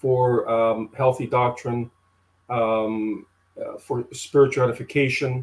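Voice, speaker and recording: Somewhat breathy in tone, the man's voice sits at a medium pitch. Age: 50s. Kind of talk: interview conversation.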